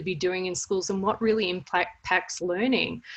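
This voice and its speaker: An Australian-accented woman is speaking. Her pitch is medium and her intonation fairly even. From Australia, Melbourne. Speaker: service learning educator. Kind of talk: webinar presentation. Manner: hesitant, many fillers.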